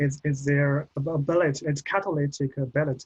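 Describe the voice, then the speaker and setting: A man's somewhat breathy voice with a Chinese accent, fairly high in pitch, at a moderate pace, in a dry, close sound with no echo. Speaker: postgraduate researcher. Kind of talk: Q&A after presentation. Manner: halting, many repetitions.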